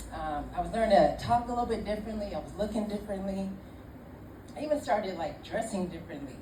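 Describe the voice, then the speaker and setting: A woman at medium pitch talking at a very fast pace amid noticeable background noise. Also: ordinary pitch variation. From Ireland. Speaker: storyteller. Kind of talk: live comedic storytelling. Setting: live pub audience. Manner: casual, conversational.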